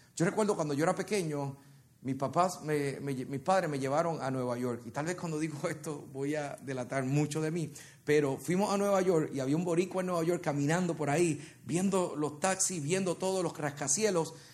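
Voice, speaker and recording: Animated in tone, a man talks at a moderate pace with fairly high pitch and ordinary pitch variation, and the room echo is audible. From Puerto Rico. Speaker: worship leader and preacher. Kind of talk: sermon. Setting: church with congregation.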